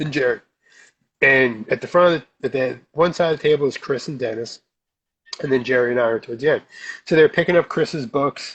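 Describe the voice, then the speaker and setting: A man with a New Jersey accent, fairly high in pitch, ordinary pitch variation, a fairly quick pace broken by long, frequent pauses. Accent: New Jersey American. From South Jersey, US. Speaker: comic book artist. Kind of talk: casual chat. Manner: animated.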